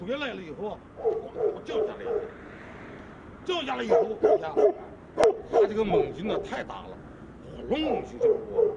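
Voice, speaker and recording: A man with an extremely high pitch talks at a moderate pace, with very wide pitch swings, big swings in loudness, long and frequent pauses, and noticeable background noise. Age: 60s. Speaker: martial arts hobbyist, dog attack survivor. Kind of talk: interview answer. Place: street.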